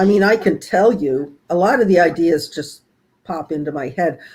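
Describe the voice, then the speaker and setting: A woman with an ordinary speaking voice talks at a fairly slow pace. Her pitch is fairly low and her intonation lively. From US Midwest, Flint, Michigan. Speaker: horror novelist, retired teacher. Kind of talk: interview. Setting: video call.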